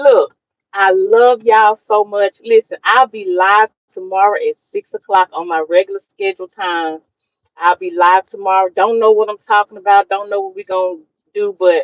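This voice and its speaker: Here a woman speaks at a moderate pace. Her pitch sits in the medium range. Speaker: vlogger. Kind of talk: livestream chat. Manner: loud; animated.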